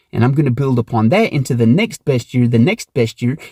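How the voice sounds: A man speaks with a slightly mellow tone and a slightly husky edge. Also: dry, close sound with no echo.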